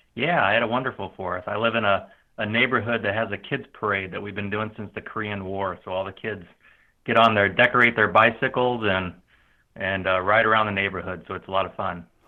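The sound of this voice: Here a man talks at a fairly quick pace. His fairly low voice keeps a fairly even intonation.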